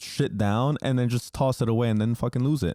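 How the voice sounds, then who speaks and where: Speaking with a Spanish accent, a man uses a medium pitch, a moderate pace and a dark, mellow tone, the sound dry and close with no echo. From New Jersey, US. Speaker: podcast host, entrepreneur. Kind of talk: casual monologue podcast. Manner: filler-heavy, repeats words.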